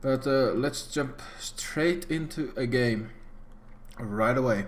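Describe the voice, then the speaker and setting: Very slow and very even in loudness, a man's medium-pitched voice shows ordinary pitch variation amid audible room echo. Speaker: gaming youtuber. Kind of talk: gameplay commentary. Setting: home PC recording. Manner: soft-spoken; hesitant, many fillers.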